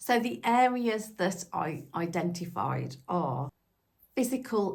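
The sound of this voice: The speaker is a woman with lively intonation. Her tone is slightly mellow.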